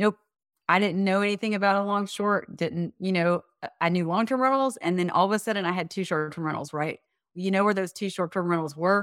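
Recorded very cleanly against a silent background, the dry, close sound with no echo carries a woman talking at a fairly quick pace with ordinary pitch variation. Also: medium pitch for a woman. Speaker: property manager and real estate investor. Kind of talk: casual interview. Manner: talkative.

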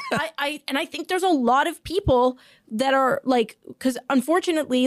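Sounding confident, a woman with a high voice swings very widely in pitch at a moderate pace, in a very clean recording with a silent background. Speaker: podcast host. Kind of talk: casual chat. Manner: confident-sounding.

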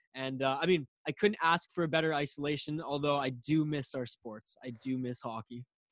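Someone with a western Canadian accent speaks with hardly any pauses and ordinary pitch variation, the sound dry and close with no echo. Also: man, fairly high pitch for a man, moderate pace. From Canada. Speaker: podcast host. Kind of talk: casual chat.

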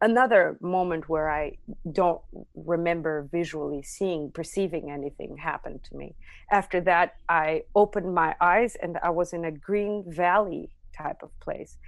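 A woman with an Armenian accent speaks at a fairly low pitch and moderate pace, with ordinary pitch variation and big swings in loudness against a quiet background. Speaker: near-death experiencer, musician. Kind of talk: interview testimony.

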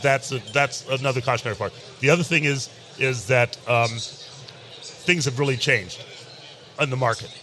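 Over noticeable background noise, a man talks at a moderate pace and medium pitch. His intonation is fairly even, broken by long, frequent pauses. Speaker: master brewer. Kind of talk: casual chat. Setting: live at a convention.

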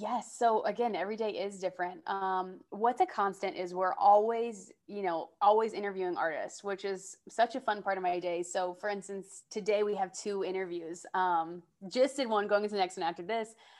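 A woman in an American accent speaks at a moderate pace and medium pitch, with hardly any pauses and fairly even intonation. Hers is a plain, everyday voice, set against a quiet background. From US South (Georgia). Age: 20s. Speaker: entertainment host and journalist. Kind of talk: casual interview chat.

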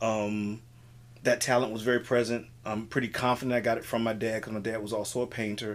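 An American-accented man speaks at a very fast pace with monotone, flat intonation. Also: medium pitch for a man. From Miami, Florida (Richmond Heights). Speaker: improv comedian. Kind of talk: casual interview chat.

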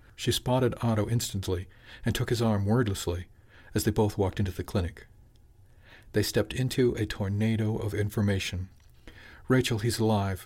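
A man with a somewhat breathy, fairly low voice speaks in a solemn tone at a fairly quick pace, with fairly even intonation and long, frequent pauses, on a very clean recording with a silent background. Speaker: audiobook narrator. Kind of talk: dramatic narration, fiction reading aloud. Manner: measured, hushed and solemn, with emotional weight.

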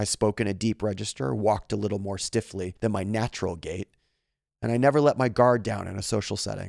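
This man talks at a fairly quick pace with a fairly low pitch, ordinary pitch variation and vocal fry. The sound is dry and close with no echo, on a very clean recording with a silent background. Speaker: podcast host reading stories. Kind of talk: reading aloud.

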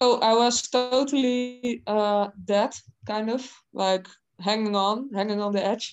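Here a woman speaks in a Dutch accent. Her pace is fairly slow and her intonation fairly even. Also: fairly high pitch for a woman. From Netherlands. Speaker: heavy metal singer. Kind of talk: casual interview.

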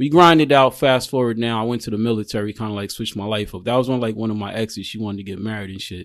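Talking very fast with hardly any pauses, a man keeps to a medium pitch. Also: ordinary pitch variation. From Queens, New York (born in Jamaica). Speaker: registered nurse and military veteran. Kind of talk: casual chat.

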